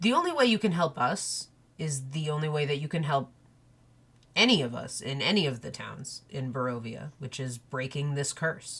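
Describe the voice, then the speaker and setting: In a raspy, put-on character voice with a low-to-middle pitch, the speaker goes at a moderate pace on a very clean recording with a silent background. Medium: actual play. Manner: earnest, grave.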